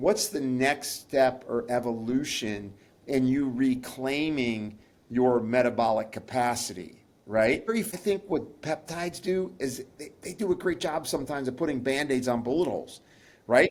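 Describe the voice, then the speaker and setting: This man has a medium pitch and an unremarkable speaking voice. His intonation is lively and his pace moderate. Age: 60s. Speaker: pharmacist and nutritionist. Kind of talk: interview.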